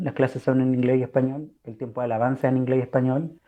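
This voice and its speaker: A man with a Chilean accent speaks in a dark, mellow tone against a quiet background. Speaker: missionary and language teacher. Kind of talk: casual chat. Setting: podcast recording.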